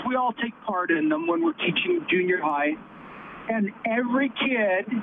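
The pace is fairly slow. Noticeable background noise accompanies the voice. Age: 50s. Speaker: teacher. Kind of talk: call-in radio talk. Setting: phone call. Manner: animated.

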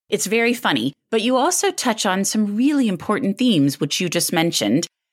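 The speaker talks at a fairly quick pace with very wide pitch swings and vocal fry. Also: woman. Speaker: podcast host and book columnist. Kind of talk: interview.

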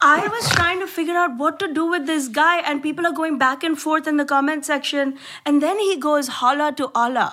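A woman speaks in a raised, projected, high voice with a bright, sharp tone. She sounds animated and leaves hardly any pauses. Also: ordinary pitch variation, moderate pace. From India. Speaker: comedian. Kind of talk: casual chat.

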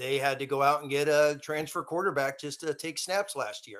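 A man talks in an ordinary speaking voice at a fairly high pitch. His intonation is fairly even and his pace moderate. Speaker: football analyst. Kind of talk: casual chat. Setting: video call.

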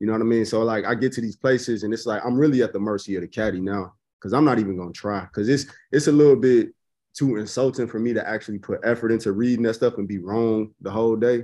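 With a Chicago accent, a man talks very fast in a dark, mellow, medium-pitched voice with fairly even intonation against a quiet background. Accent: Chicago American English. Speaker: golf social media personality. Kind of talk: casual interview. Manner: laid-back, slangy.

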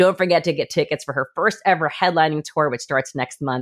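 On a very clean recording with a silent background, a woman speaks in a warm, enthusiastic tone with ordinary pitch variation. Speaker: music podcast host. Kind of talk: interview chat.

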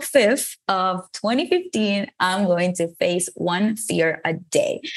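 This is a woman speaking with a Venezuelan accent. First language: Spanish. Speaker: motivational speaker. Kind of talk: interview.

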